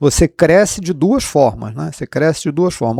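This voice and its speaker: A man speaks with a Rio de Janeiro accent and lively intonation in a dark, mellow tone. The recording is very clean with a silent background, and the sound is dry and close with no echo. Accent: Rio de Janeiro (carioca) accent, kept. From Rio de Janeiro, Brazil. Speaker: economics professor. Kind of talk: interview. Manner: hesitant, repeats words.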